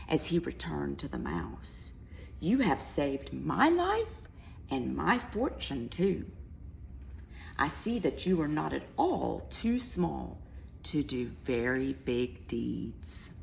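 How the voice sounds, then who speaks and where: A growling put-on character voice speaks at a fairly slow pace. Clear background noise runs behind it. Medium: read story.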